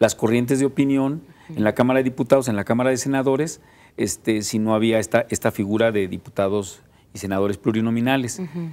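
A man at a fairly quick pace, with ordinary pitch variation. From Mexico (Jalisco). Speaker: civil association leader; TV guest. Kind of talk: panel discussion. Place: studio.

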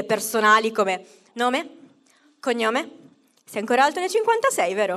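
An animated woman's voice against a quiet background. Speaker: stand-up comedian. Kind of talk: stand-up comedy. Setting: stage with audience. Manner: comic crowd work with self-mocking jokes. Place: stage. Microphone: handheld.

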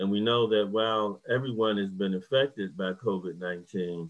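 Speaking with an American accent, a man delivers his very deep, low pitch at a moderate pace with fairly even intonation. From US South, Hampton, Virginia; Virginia. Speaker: professor of social work. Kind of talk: lecture. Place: home room. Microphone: video call.

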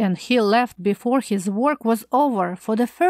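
The voice reads aloud naturally. Its pitch rises and falls in an ordinary way.

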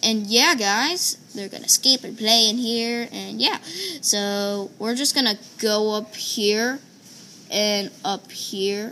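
Loudness swings widely as the speaker goes very slowly with ordinary pitch variation. Light background noise is present. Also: woman. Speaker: gaming video creator; gamer. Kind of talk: casual gameplay commentary. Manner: halting, many fillers. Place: home room. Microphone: phone near.

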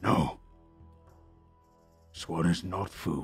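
A man growls in a put-on character voice with a very deep, low pitch. Faint music plays in the background. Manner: menacing, prowling.

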